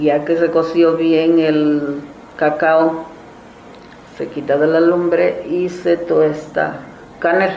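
A woman with a fairly low pitch speaks very slowly in a flat monotone, leaving long, frequent pauses. Room echo is audible and background noise is noticeable. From Zimatlán de Álvarez, Oaxaca, Mexico. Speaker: traditional cook. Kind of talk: interview, explaining a recipe.

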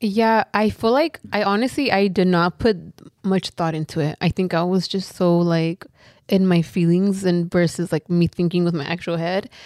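In a Southern California accent, a woman speaks at a moderate pace with ordinary pitch variation, the sound dry and close with no echo. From South Central Los Angeles. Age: 20s. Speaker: influencer. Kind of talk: casual chat.

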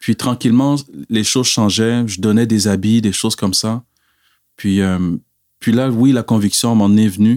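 On a very clean recording with a silent background and a dry, close sound with no echo, a man of medium pitch speaks at a fairly slow pace with fairly even intonation and long, frequent pauses. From Quebec, via Cameroon. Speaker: church member giving testimony. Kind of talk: testimony.

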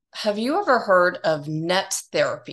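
Her tone is animated, though the woman speaks at a fairly slow pace and a medium pitch. The background is quiet. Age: 50s. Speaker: podcast host and educator. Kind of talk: interview.

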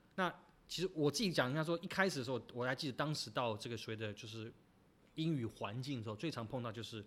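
A man's medium-pitched voice rushes along at a very fast pace, its intonation lively. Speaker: podcast host. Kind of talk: casual chat.

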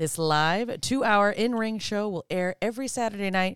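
Recorded very cleanly with a silent background and a dry, close sound with no echo, a woman in a normal speaking voice talks at a medium pitch and moderate pace with lively intonation. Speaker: co-host. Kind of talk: casual banter. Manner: laughing, interjecting.

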